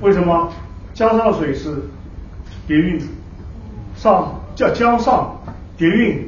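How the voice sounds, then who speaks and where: A man speaks with long, frequent pauses, his voice carrying audible room echo over light background noise. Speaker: professor. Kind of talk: lecture. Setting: stage with audience. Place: hall.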